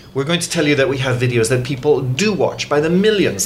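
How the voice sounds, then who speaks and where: Noticeable background noise and audible room echo surround a man who talks fairly quickly. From Ireland. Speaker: news editor. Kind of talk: interview. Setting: studio.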